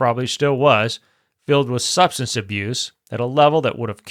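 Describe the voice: A quiet background behind plain reading aloud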